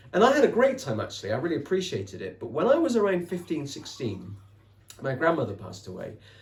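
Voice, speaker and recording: A man speaks very fast in a West Country accent, his fairly high voice swinging very widely in pitch and loudness. Vocal fry comes through, and the room echo is audible. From England, Somerset. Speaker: author and podcaster. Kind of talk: interview conversation. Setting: podcast recording.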